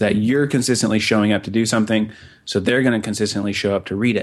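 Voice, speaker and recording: Against a quiet background, a man speaks in an ordinary speaking voice at a fairly low pitch. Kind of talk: casual interview chat.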